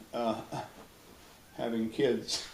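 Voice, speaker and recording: Against noticeable background noise, a man with a medium pitch speaks in a Pacific Northwest accent. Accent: Pacific Northwest American English. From Edmonds, Washington, USA. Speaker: retired dentist. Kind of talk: oral history interview answer. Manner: easygoing, hesitant with fillers.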